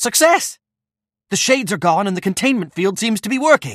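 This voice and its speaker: A man puts on a character voice at a high pitch, with very wide pitch swings and a fairly quick pace. The sound is dry and close with no echo, a very clean recording with a silent background. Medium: video game.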